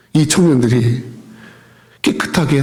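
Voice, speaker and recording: Both a noticeable background noise and an audible room echo are present in this recording. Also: man. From South Korea. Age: 60s. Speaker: pastor. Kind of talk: sermon. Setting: church.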